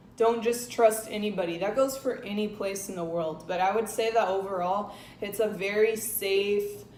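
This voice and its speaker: Moderate pace with hardly any pauses, plus audible room echo and noticeable background noise. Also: woman, medium pitch for a woman, fairly even intonation. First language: Spanish. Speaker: travel and lifestyle vlogger. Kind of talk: casual vlog talk to camera.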